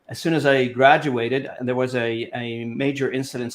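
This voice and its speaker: A man talks at a moderate pace in a medium pitch. His intonation is monotone and flat. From Lebanon. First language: Arabic and French. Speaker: language industry association president. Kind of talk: interview. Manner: halting, many fillers.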